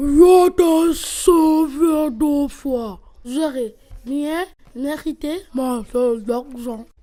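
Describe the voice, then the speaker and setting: Very slow, high-pitched, put-on character voice. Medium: stage play.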